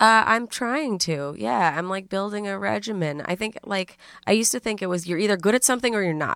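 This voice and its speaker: A plain, everyday voice from a woman with an American accent, medium in pitch, fairly quick, with lively intonation, in a very clean recording over a silent background. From New York City. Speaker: comedian and podcaster. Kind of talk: casual interview chat.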